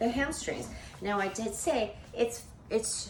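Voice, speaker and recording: An animated woman's voice at a fairly high pitch, with noticeable background noise and audible room echo. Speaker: fitness instructor. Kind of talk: tutorial.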